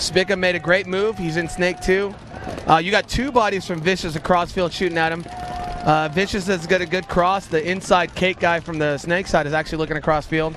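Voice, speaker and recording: A man with a high voice talks fairly quickly against noticeable background noise. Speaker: paintball commentator and former player. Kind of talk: live commentary. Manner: stuttering at times; animated.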